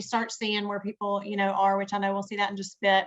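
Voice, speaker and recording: A woman with a strong Southern US accent and a fairly high pitch. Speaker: webinar co-host. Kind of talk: casual chat.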